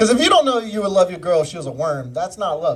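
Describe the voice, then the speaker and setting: An animated man with ordinary pitch variation amid noticeable background noise. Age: 20s. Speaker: stand-up comedian. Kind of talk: stand-up. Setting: stage with audience.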